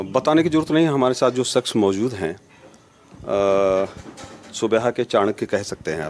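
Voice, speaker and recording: A man talks with lively intonation as music plays behind him. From Barabanki area, Uttar Pradesh. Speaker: local journalist. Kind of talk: interview. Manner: halting, many fillers.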